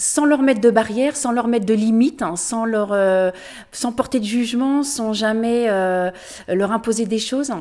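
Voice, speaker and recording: A woman with a fairly high pitch and a dark, mellow tone talks fairly slowly. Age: 50s. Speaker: amateur runner. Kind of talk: interview testimony. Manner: halting, with repeated words and fillers.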